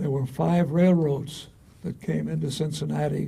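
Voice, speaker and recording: A somewhat breathy, dark and mellow voice with an American accent, fairly slow in pace with ordinary pitch variation and audible room echo. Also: man. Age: 80s+. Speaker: retired engineering society past president. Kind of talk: interview. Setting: university, on-site filmed interview.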